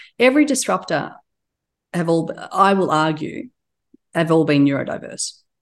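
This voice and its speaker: A woman with an Australian accent speaks at a fairly low pitch and moderate pace, with lively intonation. She leaves long, frequent pauses against a quiet background. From Turkey, raised in Australia. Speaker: business executive. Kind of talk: interview.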